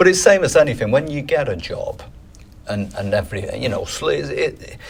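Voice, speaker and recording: With a Mancunian accent, a man is speaking. His loudness swings widely. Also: moderate pace. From northern England, Manchester. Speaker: strength and conditioning coach. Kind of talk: casual interview chat.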